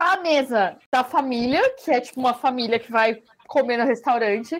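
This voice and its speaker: Speaking at a moderate pace, a woman uses lively intonation in a high voice. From Brazil. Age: 20s. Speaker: podcast co-host. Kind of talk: casual chat.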